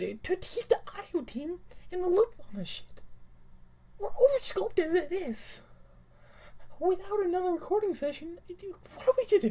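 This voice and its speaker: Speaking in a put-on character voice at an extremely high pitch, a man leaves long, frequent pauses. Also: moderate pace. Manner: furious, swearing.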